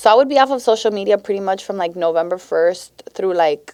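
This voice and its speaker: This woman speaks in a Miami accent at a medium pitch. Her tone is animated, with ordinary pitch variation. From Miami, Florida (Westchester). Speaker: teacher and social media creator. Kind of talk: casual chat.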